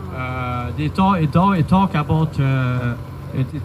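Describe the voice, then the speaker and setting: Amid noticeable background noise, a man with a fairly high pitch speaks at a fairly slow pace, his pitch swinging very widely. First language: French. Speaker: parent activist. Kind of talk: public protest speech. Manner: halting, many fillers and repetitions.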